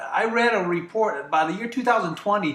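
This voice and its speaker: Lively intonation marks a man's high-pitched, raised, projected voice heard over noticeable background noise. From US Midwest, Ohio. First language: Greek. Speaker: staffing business owner. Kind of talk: talk show interview.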